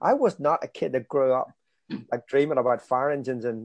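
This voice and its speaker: In a dry, close sound with no echo and a quiet background, a man of medium pitch talks at a fairly quick pace. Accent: Belfast. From Northern Ireland, East Belfast. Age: 40s. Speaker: evangelist. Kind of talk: sermon; interview.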